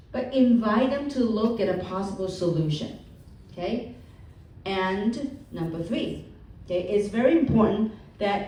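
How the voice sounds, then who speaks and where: A woman's fairly high voice with lively intonation, at a fairly slow pace, with audible room echo. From Hong Kong, moved to the US as a child. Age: 50s. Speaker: motivational speaker. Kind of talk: seminar talk. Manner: animated.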